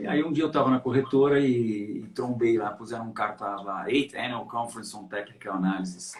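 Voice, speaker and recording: A man with a medium pitch talks at a fairly quick pace with hardly any pauses. His pitch varies in an ordinary way, while his loudness swings widely. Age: 60s. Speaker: market analyst, trader. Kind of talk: interview, career story. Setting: live stream. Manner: halting, many fillers.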